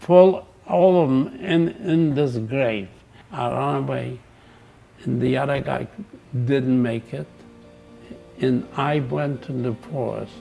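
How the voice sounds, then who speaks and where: A man speaks at a very slow pace with lively intonation and long, frequent pauses, with music playing in the background. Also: medium pitch for a man. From Poland. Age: 80s+. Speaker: Holocaust survivor. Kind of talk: interview answer.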